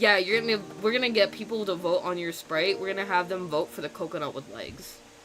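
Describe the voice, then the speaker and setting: Raised and projected over noticeable background noise, a man's high-pitched voice moves at a fairly quick pace with an animated tone and ordinary pitch variation. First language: German. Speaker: streaming artist. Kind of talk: casual chat. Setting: live stream.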